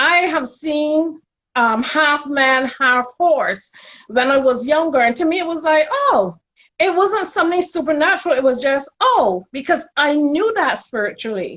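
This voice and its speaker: With a Caribbean accent, a woman talks at a fairly slow pace in a high pitch with lively intonation. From Caribbean, Barbados. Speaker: spiritual intuitive, childcare worker. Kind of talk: casual interview chat.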